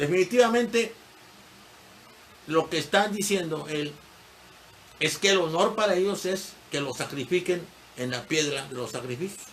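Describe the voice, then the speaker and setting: A man speaks at a high pitch with lively intonation. He goes at a fairly slow pace, with long, frequent pauses. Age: 70s. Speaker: history teacher. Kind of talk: lecture. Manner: conversational, digressive.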